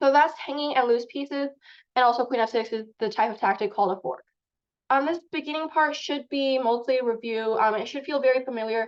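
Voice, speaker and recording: Her pitch sits high for a woman, with ordinary variation. The woman talks at a fairly quick pace. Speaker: chess teacher. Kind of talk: online lecture. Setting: video call. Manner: fast.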